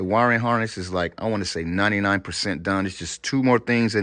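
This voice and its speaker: This man has a normal speaking voice, pitched fairly low, with fairly even intonation. The background is quiet. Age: 50s. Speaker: car customizer vlogger. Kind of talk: casual garage vlog. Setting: garage.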